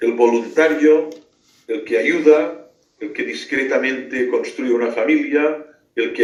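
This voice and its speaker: A man speaks with a Catalan accent, and audible room echo surrounds his voice. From Catalonia, Spain. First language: Catalan (speaking Spanish). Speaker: philosopher and theologian. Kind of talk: radio interview. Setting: remote call into radio show.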